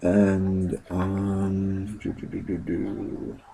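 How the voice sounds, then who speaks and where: A quiet man with a very deep, low pitch, against noticeable background noise. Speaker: comic book video blogger. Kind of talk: casual chat. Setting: at home late at night. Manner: hesitant, many fillers. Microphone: voice a little quiet.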